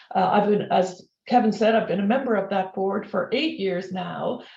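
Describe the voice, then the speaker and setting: A woman with an Irish accent speaks amid noticeable background noise, with audible room echo. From Ireland. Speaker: corporate learning executive, former professor. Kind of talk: webinar interview. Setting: video webinar.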